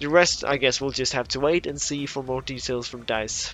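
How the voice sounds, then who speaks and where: A man speaks with a non-native accent. His intonation is fairly even. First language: not English. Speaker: gaming YouTuber. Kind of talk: gaming commentary. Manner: casual, some hesitations.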